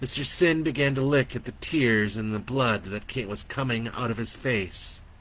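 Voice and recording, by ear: A natural voice reading aloud, pitch shifting in an ordinary way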